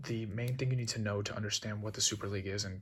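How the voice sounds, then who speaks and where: The voice is quiet, with a bright, sharp tone and fairly even intonation. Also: man. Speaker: video creator explaining football. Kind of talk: casual explainer. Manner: speaking quietly; casual, hesitant with fillers.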